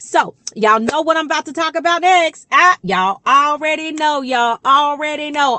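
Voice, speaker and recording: An animated tone and lively intonation in an American accent, at a moderate pace. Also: woman. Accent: Georgia accent, coming out. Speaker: relationship coach and YouTuber. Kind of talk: casual direct-to-camera talk.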